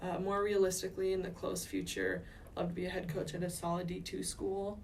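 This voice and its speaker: Over noticeable background noise and audible room echo, a woman speaks at a fairly quick pace at medium pitch with monotone, flat intonation. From US Midwest, Minnesota. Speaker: volleyball coach. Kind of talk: interview.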